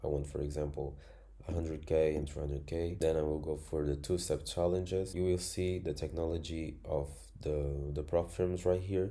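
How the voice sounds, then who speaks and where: In a non-native accent, a man with a very deep, low pitch and a dark, mellow tone speaks at a moderate pace in a monotone, flat intonation, with audible room echo. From Angola. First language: Spanish. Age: 20s. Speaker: trading educator. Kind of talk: tutorial.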